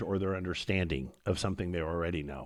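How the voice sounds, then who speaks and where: It's a man with an American accent. The recording is very clean, with a silent background. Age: 60s. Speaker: karate instructor and podcast host. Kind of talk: podcast monologue.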